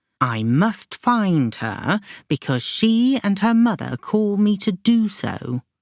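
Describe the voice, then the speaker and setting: Using a put-on character voice, a woman at medium pitch moves at a fairly slow pace with very wide pitch swings. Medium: read story. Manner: calm, measured.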